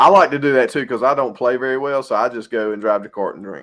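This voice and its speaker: Very fast and in a Southern US accent, a man talks at a medium pitch with ordinary pitch variation. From North Carolina. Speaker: podcast co-host. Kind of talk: casual chat.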